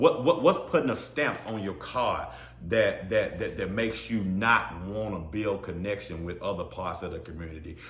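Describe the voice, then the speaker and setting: A man talks at a fairly quick pace in an animated tone, medium in pitch, with audible room echo. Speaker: podcast host. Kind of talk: solo podcast monologue. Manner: loud; animated, repetitive stammering.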